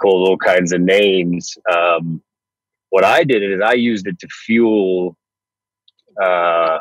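A man with a very deep, low pitch and a North Florida accent, very slow pace, long, frequent pauses, fairly even intonation and big swings in loudness, in a dry sound with no echo over a quiet background. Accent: American, North Florida. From US, North Florida. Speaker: radio and TV presenter; radio, TV presenter. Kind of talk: podcast interview. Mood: reflective, recounting hard past. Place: car. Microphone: earbuds.

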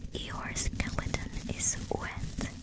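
A soft-spoken woman whispers at a very slow pace. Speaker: ASMR creator. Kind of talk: soft-spoken ASMR fact reading. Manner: close-mic soft ASMR whisper. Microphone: studio mic.

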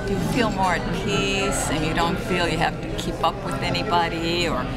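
A woman's voice under loud background noise. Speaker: vlogger. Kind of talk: casual talk to camera. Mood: cheerful, content, reflective. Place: cafe. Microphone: phone near.

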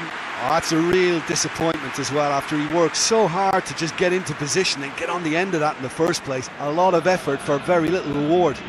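Over noticeable background noise, a man with a high pitch speaks in an excited tone at a fairly quick pace. He has ordinary pitch variation and hardly any pauses. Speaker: co-commentator, analyst. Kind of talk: live football commentary. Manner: excited, exclamatory on goals; measured, analytical.

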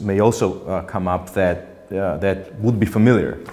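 The speaker has a Georgian accent and ordinary pitch variation. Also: man. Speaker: politician and author. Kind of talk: audience Q&A; lecture. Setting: stage with audience. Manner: halting. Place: hall.

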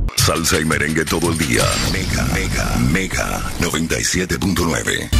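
A man's very deep, low voice at a moderate pace, with ordinary pitch variation, very even loudness and music in the background. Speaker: voice-over announcer. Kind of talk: radio station imaging read.

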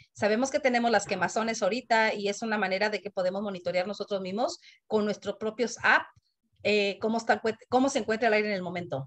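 A woman talks at a very fast pace. Her voice is fairly high, with ordinary pitch variation. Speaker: community committee member. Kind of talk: meeting comment. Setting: video call. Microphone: video call.

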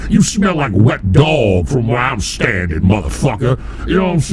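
Someone performs a put-on character voice against clear background noise. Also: man. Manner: aggressive, confrontational.

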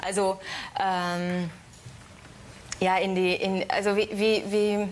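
Very slowly and with long, frequent pauses, a woman speaks in a flat monotone with a Hungarian accent over light background noise. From Hungary. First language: Hungarian (speaking German). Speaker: actress. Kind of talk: talk show interview. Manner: halting, many fillers. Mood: smiling, slightly shy. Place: studio.

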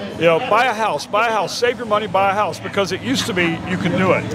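The speech is very fast, with noticeable background noise. The sound is dry, with no echo. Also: man, ordinary pitch variation. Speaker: podcast host. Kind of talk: interview conversation. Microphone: handheld.

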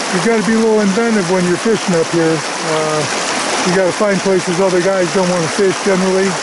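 Loud background noise sits under a dry sound with no echo. The pace is fairly quick. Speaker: fly fishing guide. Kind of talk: casual outdoor commentary. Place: waterside.

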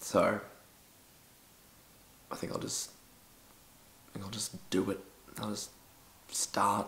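A man whispers at a fairly slow pace. Long, frequent pauses break up his speech. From Australia. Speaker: dancer and performer. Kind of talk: storytime vlog to camera. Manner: casual, humorous. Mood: embarrassed, comic storytelling. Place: home room.

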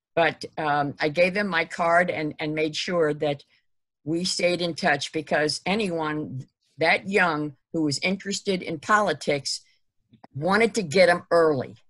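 A woman with an American accent speaks in a normal speaking voice, fairly low in pitch, with ordinary pitch variation. Her pace is fairly slow, and the background is quiet. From Ohio. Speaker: history group organizer and webinar host. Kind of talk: webinar moderation. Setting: video call. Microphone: video call.

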